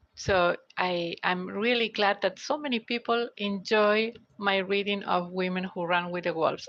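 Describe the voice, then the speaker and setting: A woman's medium-pitched voice at a fairly slow pace, with ordinary pitch variation and a quiet background. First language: Spanish. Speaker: tarot reader and audiobook narrator. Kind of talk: live stream talk. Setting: live stream on mobile phone. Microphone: basic mobile phone.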